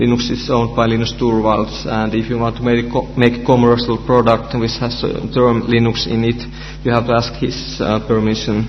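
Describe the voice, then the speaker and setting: With music in the background and audible room echo, a man speaks in a Finnish accent at medium pitch with monotone, flat intonation. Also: moderate pace. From Finland. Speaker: researcher and conference speaker. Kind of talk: conference talk. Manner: halting, many fillers.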